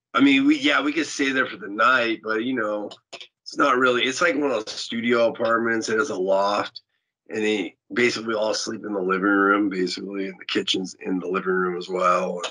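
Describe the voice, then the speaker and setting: Against a quiet background, a man talks at a fairly quick pace in a bright, sharp tone with ordinary pitch variation. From California. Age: 50s. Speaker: punk rock musician; interviewee. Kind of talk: interview. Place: home room. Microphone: video call.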